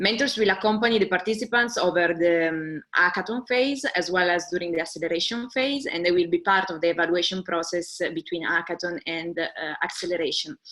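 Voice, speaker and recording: A woman with a strong Italian accent speaks at a fairly quick pace with hardly any pauses. Her pitch is fairly low, with ordinary variation. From Italy. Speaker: webinar co-host, music industry organizer. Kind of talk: webinar presentation. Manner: halting.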